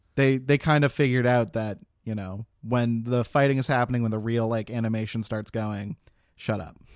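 At a moderate pace, a man with a normal speaking voice keeps a medium pitch and fairly even intonation in a very clean recording with a silent background. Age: 20s. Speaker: podcast co-host. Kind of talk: casual chat.

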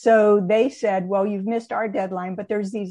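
The background is quiet as a woman speaks in an American accent. Her pitch is medium and her intonation fairly even. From New York State. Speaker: retired air force general and lecturer. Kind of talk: interview. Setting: video call. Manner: halting with fillers.

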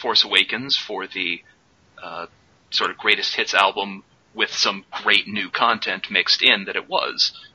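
Noticeable noise fills the background. Through it, a man speaks at a moderate pace. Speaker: podcast co-host. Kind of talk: casual chat.

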